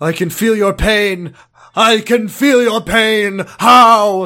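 Putting on a character voice, a man speaks very slowly in a raised, projected, high-pitched voice on a very clean recording with a silent background. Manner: menacing, dramatic.

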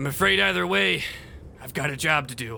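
In a raspy put-on character voice of medium pitch, a man talks at a fairly quick pace with lively intonation and big swings in loudness over clear background noise. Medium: actual play. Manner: cold, terse.

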